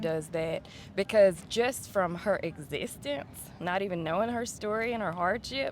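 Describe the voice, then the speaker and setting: A woman with a Southern US accent and medium pitch. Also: ordinary pitch variation, moderate pace. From West Tennessee, USA. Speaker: singer-songwriter. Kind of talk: interview answer.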